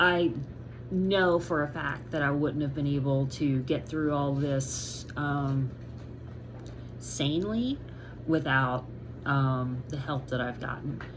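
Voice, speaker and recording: A woman speaks very slowly with a very deep, low pitch and fairly even intonation. Long, frequent pauses break up her speech, and audible room echo surrounds it. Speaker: vlogger sharing medical recovery update. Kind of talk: casual video update to viewers. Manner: frequent fillers, halting.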